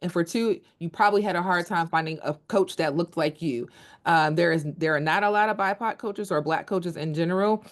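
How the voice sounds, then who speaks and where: A woman with an American accent, fairly low pitch, and ordinary pitch variation, at a fairly quick pace against a quiet background. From New York. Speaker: nonprofit founder and life coach. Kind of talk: presentation. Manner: fast.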